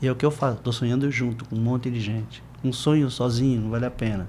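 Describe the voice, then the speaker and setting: Fairly quick, somewhat breathy speech from a man at a medium pitch. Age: 60s. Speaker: surfer and surf educator. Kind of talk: interview conversation. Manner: animated.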